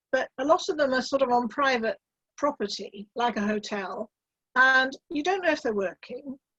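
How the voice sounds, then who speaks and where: Moderate-paced speech from a woman, with ordinary pitch variation and a dry, close sound with no echo. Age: 70s. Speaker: electric car driver. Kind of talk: interview.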